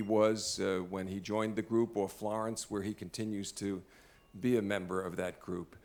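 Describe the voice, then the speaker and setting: On a very clean recording with a silent background, a man with a strong Brooklyn accent speaks in a monotone, flat intonation at a fairly low pitch. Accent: heavy Brooklyn. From US Northeast, Brooklyn, New York. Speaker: law school dean, event emcee. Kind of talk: formal dinner introduction. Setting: dinner event with audience. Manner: halting, many fillers.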